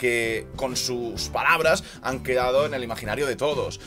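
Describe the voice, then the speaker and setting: A man's pitch varies in an ordinary way as clear music plays in the background. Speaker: sports vlogger. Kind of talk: news commentary vlog. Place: home room.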